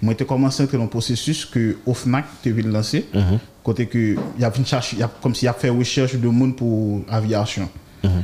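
With a dark, mellow tone and medium pitch, a man talks at a moderate pace, his intonation fairly even. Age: 30s. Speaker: air traffic controller. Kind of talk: interview.

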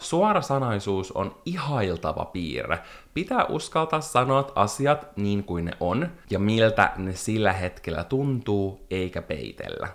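Very slowly, a man speaks at a medium pitch. His pitch swings very widely. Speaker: podcast co-host. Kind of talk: casual chat.

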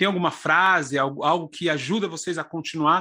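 A man's fairly high-pitched voice with a bright, sharp tone and fairly even intonation. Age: 40s. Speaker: podcast host. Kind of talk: interview conversation.

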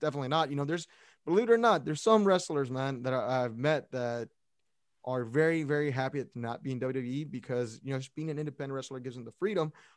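Words pour out at a very fast pace in an American accent. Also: man, fairly high pitch for a man, ordinary pitch variation, very clean recording, silent background. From Brownsville, Texas. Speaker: sports podcast host. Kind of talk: casual chat.

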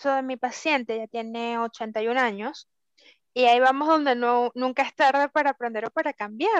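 Against a quiet background, a woman with a high pitch speaks at a moderate pace with fairly even intonation, in a dry, close sound with no echo. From Venezuela. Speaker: podcast co-host. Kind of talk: casual chat.

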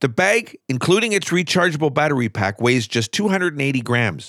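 On a very clean recording with a silent background, a man speaks in an upbeat tone at a moderate pace, his fairly high voice making very wide pitch swings. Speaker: radio host. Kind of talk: radio DJ patter between songs. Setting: radio studio. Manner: smooth, upbeat, conversational; chatty, lightly joking, laughs while talking.

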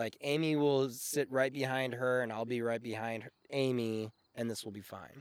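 A man with a normal speaking voice and medium pitch talks at a moderate pace, with fairly even intonation and big swings in loudness. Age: 30s. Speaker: audio engineer and musician. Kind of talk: casual chat.

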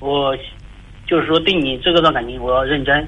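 A man speaks at a moderate pace. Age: 30s. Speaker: caller seeking relationship advice. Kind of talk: call-in advice conversation. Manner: halting. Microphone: voice sounds hollow, like speakerphone.

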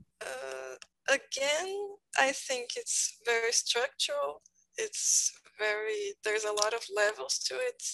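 A woman speaks with a Brazilian Portuguese accent at a very slow pace. The sound is dry and close, with no echo. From Brazil, São Paulo. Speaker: English learner. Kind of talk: group discussion. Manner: halting.

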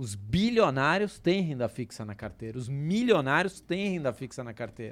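A man speaks at a moderate pace with hardly any pauses, using very wide pitch swings and big swings in loudness. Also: fairly high pitch for a man. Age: 30s. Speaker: personal finance educator. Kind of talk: casual podcast interview.

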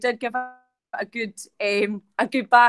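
A woman speaks in a Scottish accent at a high pitch. The sound is dry and close, with no echo. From Scotland, Ayrshire. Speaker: podcast host, school staff. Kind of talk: introduction of guest. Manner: hesitant with many fillers.

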